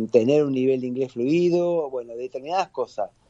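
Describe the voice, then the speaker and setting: The dark, mellow tone of a man comes through at a fairly quick pace with ordinary pitch variation, recorded dry and close with no echo. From Argentina. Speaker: lawyer, football fan. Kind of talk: radio interview.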